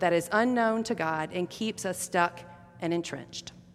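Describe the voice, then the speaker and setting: An unremarkable speaking voice with an American accent, lively intonation and a moderate pace. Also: woman. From US South. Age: middle-aged. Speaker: pastor. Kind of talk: sermon.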